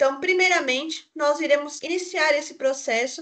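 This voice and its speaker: A woman speaks with ordinary pitch variation. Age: 20s. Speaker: YouTuber, accessibility tutorial maker. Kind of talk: tutorial. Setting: office, recorded via video call software.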